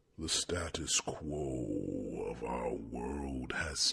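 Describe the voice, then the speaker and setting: Putting on a character voice, a man drawls at a very slow pace with a very deep, low pitch. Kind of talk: ASMR fantasy roleplay. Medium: solo performance. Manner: soft, warm, gently chiding.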